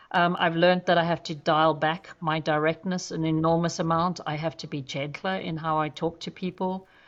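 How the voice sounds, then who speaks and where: A woman with a fairly low pitch speaks in a monotone, flat intonation with hardly any pauses. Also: moderate pace. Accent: South African. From South Africa (Johannesburg, Durban). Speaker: zoo chief executive, conservationist. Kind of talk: podcast interview. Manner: direct.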